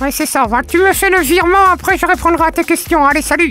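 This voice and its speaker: Put-on character voice from a man, extremely high-pitched and fairly quick, over clear background noise. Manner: brusque, grumpy.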